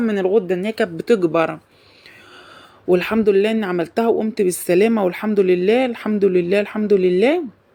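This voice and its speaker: A woman is speaking. Her tone is dark and mellow. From Egypt. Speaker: vlogger. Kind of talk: casual chat.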